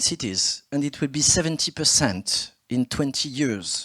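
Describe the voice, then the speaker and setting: In a very clean recording with a silent background, a man with a French accent speaks at a moderate pace in a fairly high pitch. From France. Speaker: politician, city mayor. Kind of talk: conference speech. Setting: stage with audience.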